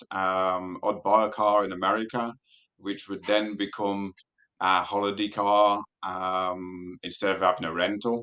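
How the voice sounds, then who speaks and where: Against a quiet background, a man with a British accent speaks fairly slowly in a fairly low voice with a bright, sharp tone. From UK. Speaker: race car driver and car enthusiast. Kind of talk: casual interview.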